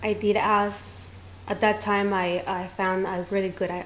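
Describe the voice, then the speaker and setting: A woman's medium-pitched voice at a fairly slow pace, amid room echo and noticeable background noise. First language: not English. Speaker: salon owner, beauty professional. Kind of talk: interview. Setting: on location at her studio.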